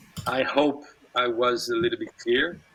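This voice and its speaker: This man talks with a French accent. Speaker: tech company executive. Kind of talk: online interview. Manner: halting.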